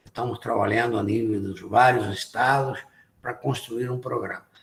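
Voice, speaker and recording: A man speaks at a medium pitch, his voice somewhat breathy and his pitch varying in an ordinary way. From abroad, not Brazil. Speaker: IT industry association president. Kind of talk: lecture.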